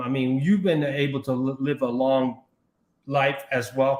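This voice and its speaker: Here a man talks at a moderate pace with an American accent. His voice sits fairly high in pitch. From Brooklyn, New York. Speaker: livestream talk show host. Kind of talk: live talk show. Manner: halting.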